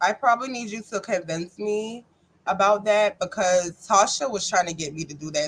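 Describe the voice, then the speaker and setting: With a Charleston accent, a woman of medium pitch talks at a fairly quick pace, using lively intonation and big swings in loudness. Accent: US Southern, Charleston. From North Charleston, South Carolina. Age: 30s. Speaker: guest, recovering addict. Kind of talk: casual interview chat.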